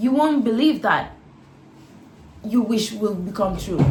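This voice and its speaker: A woman with a non-native accent speaks at medium pitch and a moderate pace. Her pitch varies in an ordinary way, and there is audible room echo. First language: not English. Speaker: lifestyle vlogger. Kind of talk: casual advice monologue.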